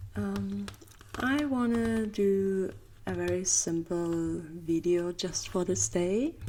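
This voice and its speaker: A soft-spoken woman with a German accent talks over noticeable background noise. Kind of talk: ASMR soft rambling.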